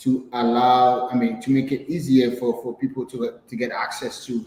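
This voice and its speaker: Against noticeable background noise, a man with a French accent talks at a medium pitch and a moderate pace, keeping his intonation fairly even. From Haiti. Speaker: entrepreneur. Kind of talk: interview. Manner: halting, many fillers and repetitions.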